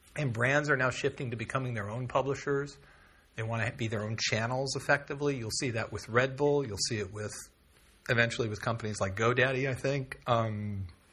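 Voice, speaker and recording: Talking at a fairly quick pace with an American accent, a man uses a medium pitch, a bright, sharp tone and ordinary pitch variation, with audible room echo around him. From California. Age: 50s. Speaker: media company executive. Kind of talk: guest talk to a university class. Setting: classroom with student audience.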